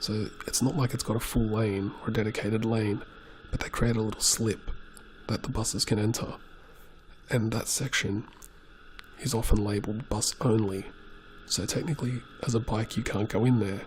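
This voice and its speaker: This soft-spoken man has a medium pitch and fairly even intonation. He talks at a moderate pace with long, frequent pauses. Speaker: motorcyclist. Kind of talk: casual talk while riding.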